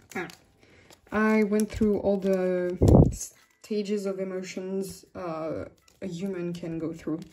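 A woman's dark, mellow voice with a French accent, very slow and flat in intonation, with long, frequent pauses over loud background noise. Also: medium pitch for a woman. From France. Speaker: YouTuber and K-pop photocard collector. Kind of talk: casual vlog chat. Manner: hesitant, many fillers and frequent laughter. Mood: relaxed, chatty. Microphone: phone near.

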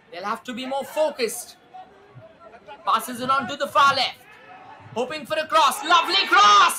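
Crowd noise fills the background as the speaker goes at a moderate pace. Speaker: football commentator. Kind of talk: live football commentary. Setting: stadium match. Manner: animated; excitable, punchy.

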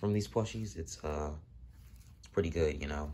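A man talks quietly at a fairly quick pace, his very deep, low voice showing vocal fry and ordinary pitch variation. Noticeable background noise sits behind him. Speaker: toy reviewer. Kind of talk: product review. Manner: casual, filler-heavy. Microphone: phone near.

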